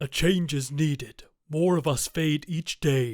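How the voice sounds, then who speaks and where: A man performs a put-on character voice. His pitch sits fairly high. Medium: read story. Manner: measured, solemn.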